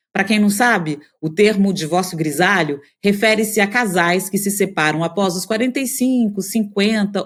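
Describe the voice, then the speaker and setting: In a very clean recording with a silent background, a woman with an unremarkable speaking voice talks at a medium pitch and a fairly slow pace, with ordinary pitch variation. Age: 50s. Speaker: podcast host, journalist. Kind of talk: scripted podcast intro.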